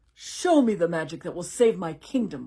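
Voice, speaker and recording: A put-on, growling character voice, female-sounding, at a middle pitch and a moderate pace. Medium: read story. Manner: imperious.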